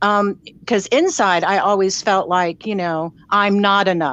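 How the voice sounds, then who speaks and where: A woman with a plain, everyday voice, medium in pitch, at a fairly slow pace. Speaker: caller sharing personal story. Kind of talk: casual chat.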